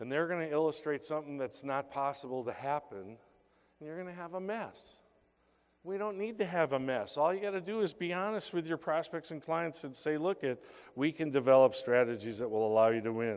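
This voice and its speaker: In a very clean recording with a silent background, a man with a fairly high pitch talks at a fairly quick pace in an animated tone with lively intonation. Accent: American. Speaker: keynote speaker at insurance sales conference. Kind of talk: motivational sales talk. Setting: stage with audience.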